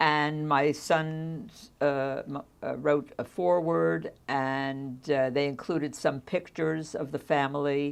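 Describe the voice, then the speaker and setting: A very slow voice with an American accent and fairly even intonation, against a quiet background. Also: woman, very deep, low pitch for a woman. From United States. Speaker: social worker. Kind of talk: oral history interview. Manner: halting.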